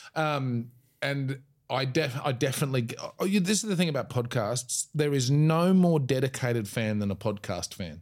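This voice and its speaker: Lively intonation and a moderate pace mark this voice with an Australian accent. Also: man, medium pitch for a man. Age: 40s. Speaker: comedian. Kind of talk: casual chat.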